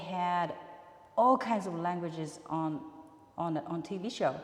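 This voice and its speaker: With a Japanese accent, a woman speaks at a fairly low pitch and leaves long, frequent pauses. Room echo is audible. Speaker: musician. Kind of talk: interview. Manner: halting.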